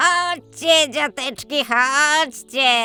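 A female-sounding, put-on character voice speaks at a high pitch. Hissing is present. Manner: hissing, luring.

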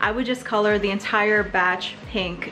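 Faint music plays behind a woman speaking at a moderate pace with ordinary pitch variation. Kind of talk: tutorial. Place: kitchen. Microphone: phone near.

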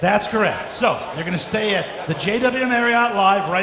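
Over noticeable background noise, a man speaks in a raised, projected voice at a moderate pace. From San Francisco. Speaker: fundraising auctioneer. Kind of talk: casual talk to the audience describing the auction lot. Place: hall. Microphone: handheld.

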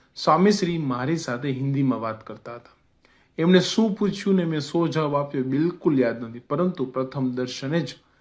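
A man speaks with a plain, everyday voice. His pitch is fairly high, with ordinary pitch variation. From Gujarati family, schooled in Jabalpur, central India. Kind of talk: religious memoir narration.

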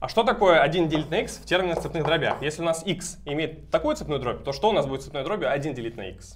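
A man's fairly high-pitched voice at a very fast pace, over light background noise. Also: hardly any pauses. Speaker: mathematics graduate student. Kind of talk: math lecture explanation. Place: classroom. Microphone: camera far.

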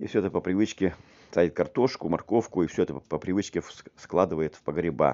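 Talking at a very fast pace, a man with a very deep, low pitch keeps an ordinary amount of pitch variation. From Siberia, Krasnoyarsk region. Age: 50s. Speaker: video blogger. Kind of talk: walking tour vlog narration. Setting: outdoors, walking in town. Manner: halting, repetitive.

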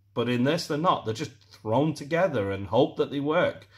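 A man talks at a moderate pace with a British accent. His voice is somewhat breathy against a quiet background. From UK. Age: middle-aged. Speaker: airsoft product reviewer, YouTuber. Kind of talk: product review. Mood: disappointed, critical. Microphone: phone near.

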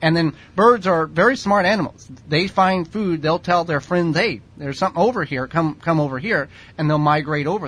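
Delivered at a moderate pace, a man's voice shows ordinary pitch variation. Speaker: radio show co-host. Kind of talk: radio talk show explanation. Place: studio. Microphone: studio mic.

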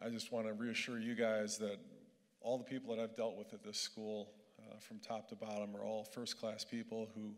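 A man talks at a fairly quick pace with a quiet background. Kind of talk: speech. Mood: earnest, lightly humorous. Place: hall. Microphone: handheld.

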